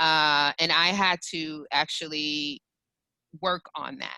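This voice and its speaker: In an American accent, a woman with fairly low pitch speaks with a bright, sharp tone and fairly even intonation, the sound dry and close with no echo. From New York. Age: 40s. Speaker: professional development group founder and host. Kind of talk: webinar discussion. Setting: video call. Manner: direct.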